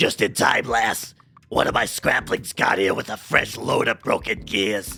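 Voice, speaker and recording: A man's gruff, raspy put-on character voice at a moderate pace, with faint music in the background. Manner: annoying character voice.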